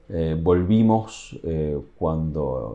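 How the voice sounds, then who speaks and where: A man speaks with a Uruguayan accent. His intonation is lively. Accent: Uruguayan Spanish accent kept. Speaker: tourism communications official. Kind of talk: interview. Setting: office at workplace. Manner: halting, many fillers.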